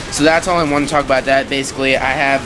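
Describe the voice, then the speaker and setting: Over noticeable background noise, a man at medium pitch speaks very fast with monotone, flat intonation. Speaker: gaming commentator. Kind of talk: casual gameplay commentary. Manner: occasional stuttering, hesitant fillers.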